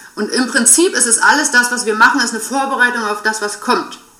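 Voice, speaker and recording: Noticeable background noise and audible room echo surround the recording. A woman with a high pitch speaks at a moderate pace. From Saxony-Anhalt, eastern Germany. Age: 30s. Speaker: financial and money coach. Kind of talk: casual interview.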